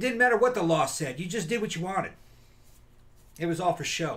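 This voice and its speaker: Lively intonation marks this man's speech. He has an American accent. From US South, Mississippi Delta; Mississippi. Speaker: podcast co-host. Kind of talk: casual chat. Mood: relaxed, jokey, some swearing. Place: home room.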